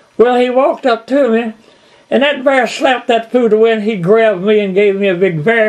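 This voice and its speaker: Here a man talks in a Kentucky accent with a high pitch. His pace is moderate and his pitch variation ordinary. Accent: Southern US, Kentucky. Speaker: bluegrass musician and storyteller. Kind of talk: storytelling interview.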